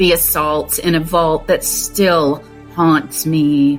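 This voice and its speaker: Very slow speech from a woman with a very deep, low pitch and fairly even intonation, music playing in the background. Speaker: abuse survivor and advocate. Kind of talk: spoken word poetry reading.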